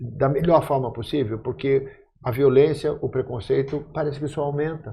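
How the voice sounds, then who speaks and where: A man speaks at a moderate pace with a fairly high pitch. His voice is somewhat breathy and his intonation fairly even. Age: 60s. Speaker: actor, podcast guest. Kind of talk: casual chat.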